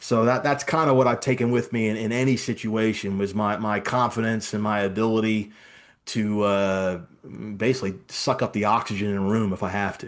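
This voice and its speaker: A man's fairly low-pitched voice at a fairly quick pace, an ordinary speaking voice. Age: 50s. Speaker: business executive. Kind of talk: interview.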